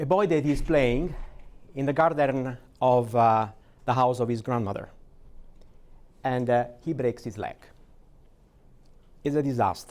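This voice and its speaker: A man at a medium pitch, speaking fairly slowly with long, frequent pauses and ordinary pitch variation. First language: Italian. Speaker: AI strategy advisor, keynote speaker. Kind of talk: keynote speech. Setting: stage at a conference.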